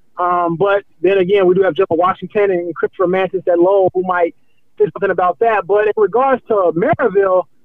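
Fairly quick, high-pitched speech from a man, with fairly even intonation and very even loudness. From US Midwest, Romeoville, Illinois. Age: 20s. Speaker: sports reporter. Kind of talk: casual interview. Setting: on the move.

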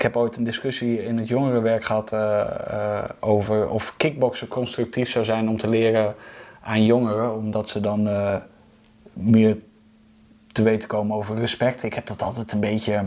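Speaking at a moderate pace with monotone, flat intonation, a man has a medium pitch and a dark, mellow tone. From Netherlands, Overijssel. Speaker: musician and singing teacher. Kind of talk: casual chat. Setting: at his home.

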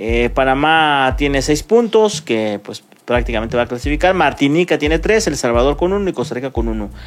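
A man with an ordinary speaking voice talks at a fairly high pitch with lively intonation. His pace is fairly quick, with hardly any pauses. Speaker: sports radio host. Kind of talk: sports talk show.

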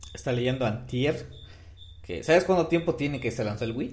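Speaking at a fairly slow pace, a man with a medium pitch and ordinary pitch variation shows vocal fry. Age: 30s. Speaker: podcast co-host. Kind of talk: casual chat.

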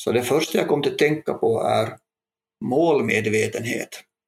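The man speaks at a fairly slow pace. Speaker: police chief inspector, police educator. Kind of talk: panel discussion.

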